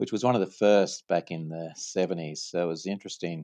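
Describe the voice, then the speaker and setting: With an Australian accent, a man speaks at a very deep, low pitch in a dry, close sound with no echo. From Australia, Sydney. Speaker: franchise company CEO. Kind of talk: podcast interview.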